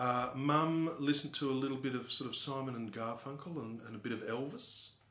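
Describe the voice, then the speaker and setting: Audible room echo surrounds the voice. A man talks with fairly even intonation. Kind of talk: interview answer. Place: office. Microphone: camera far.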